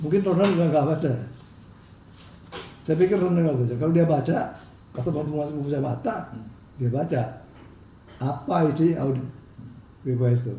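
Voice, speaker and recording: With audible room echo, a man talks at a fairly quick pace yet with long, frequent pauses, his fairly high, somewhat breathy voice carrying a dark, mellow tone and ordinary pitch variation. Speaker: businessman in legal dispute. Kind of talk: interview.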